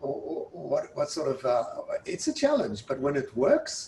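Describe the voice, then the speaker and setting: A man with a South African accent, against noticeable background noise. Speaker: university president. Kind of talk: interview.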